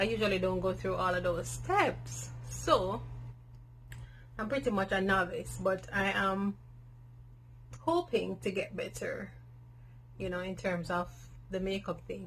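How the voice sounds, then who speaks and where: With a strong Jamaican accent, a woman talks at a fairly slow pace. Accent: thick Jamaican. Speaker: natural hair vlogger. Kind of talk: casual Q and A vlog. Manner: candid, conversational with fillers.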